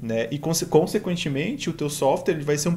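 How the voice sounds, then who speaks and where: Light background noise sits behind a man's fairly high voice. He moves at a moderate pace with lively intonation. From Rio Grande do Sul, Brazil. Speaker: embedded software engineer; conference speaker. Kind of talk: tech talk presentation. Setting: online live stream. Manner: halting, many fillers. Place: home room.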